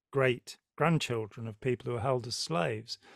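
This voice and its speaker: A man speaks at a fairly slow pace in a medium pitch. The sound is dry and close, with no echo. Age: 60s. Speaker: podcast host. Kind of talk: interview conversation.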